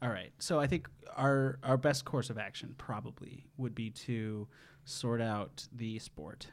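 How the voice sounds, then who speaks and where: With an American accent, a man speaks with ordinary pitch variation in a plain, everyday voice. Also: medium pitch for a man, fairly slow pace. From Wisconsin, Madison. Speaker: game show podcast host. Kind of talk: casual chat.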